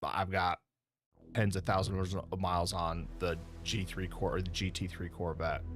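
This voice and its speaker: Monotone, flat intonation at a moderate pace, with audible room echo. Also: man, very deep, low pitch for a man. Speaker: sim racing streamer. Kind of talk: live gameplay stream commentary. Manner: loud.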